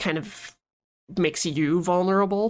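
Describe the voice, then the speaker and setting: On a very clean recording with a silent background, a woman has a plain, everyday voice. Her pitch is fairly low, with ordinary pitch variation. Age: 30s. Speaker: podcast co-host and editor. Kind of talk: casual chat.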